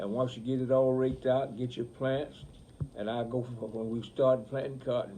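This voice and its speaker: With an Alabama accent, a man at a medium pitch speaks at a moderate pace in a dark, mellow, flat monotone. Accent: rural Southern US (Alabama). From US South, rural Alabama (Bullock County). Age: 80s+. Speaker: grandfather, retired farmer. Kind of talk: casual family interview, storytelling. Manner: halting, self-correcting.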